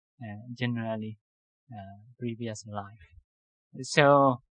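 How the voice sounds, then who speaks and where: This is a man's voice. His pitch is medium. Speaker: Buddhist monk teacher. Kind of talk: dharma lecture. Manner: halting.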